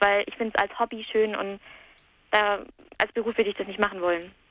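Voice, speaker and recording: A woman's fairly high-pitched voice at a very fast pace. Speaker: caller. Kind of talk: phone-in casual chat. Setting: phone call.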